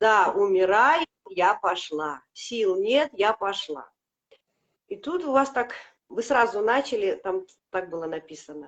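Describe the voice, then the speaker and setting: Very slowly and with long, frequent pauses, a woman speaks at a fairly high pitch with very wide pitch swings. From Latvia. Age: 50s. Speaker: product customer sharing results. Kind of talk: testimony. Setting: live video stream.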